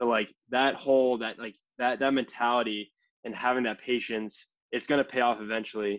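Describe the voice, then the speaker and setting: A man with an American accent speaks fairly quickly at a medium pitch. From Massachusetts, near Boston. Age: 20s. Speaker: entrepreneur and college student. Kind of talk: casual interview chat. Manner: animated, fast.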